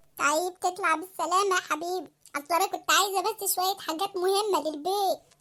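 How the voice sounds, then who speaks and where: A woman performs a squeaky, cartoonish character voice at an extremely high pitch, keeping her loudness very even. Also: moderate pace. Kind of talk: comic cartoon sketch. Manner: coaxing, fast list-reeling.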